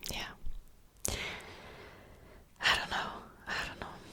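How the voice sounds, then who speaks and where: There is noticeable background noise. Through it, a woman whispers very slowly. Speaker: ASMR creator. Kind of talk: ASMR whispered ramble to camera. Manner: whispered, soft-spoken, casual.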